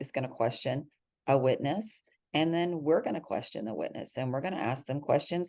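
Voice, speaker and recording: Speaking with a Texas accent, a woman uses lively intonation. Her pitch is very deep and low, and her tone is dark and mellow. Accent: soft Texas drawl. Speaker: criminal defense lawyer. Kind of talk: podcast interview answer. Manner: kind, friendly.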